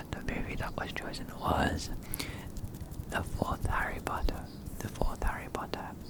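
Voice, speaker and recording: Against noticeable background noise, someone whispers at a fairly slow pace. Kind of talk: ASMR soft-spoken chat with trigger words. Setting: close microphone in a home setup. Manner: soft-spoken, whispered, repeating trigger words.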